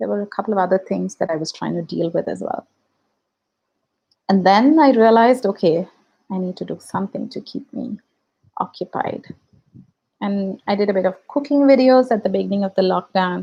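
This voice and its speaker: A woman with a Tamil accent, a dark, mellow tone, a fairly quick pace, ordinary pitch variation and long, frequent pauses. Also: medium pitch for a woman. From India. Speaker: YouTube reaction video creator. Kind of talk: casual livestream chat. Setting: livestream.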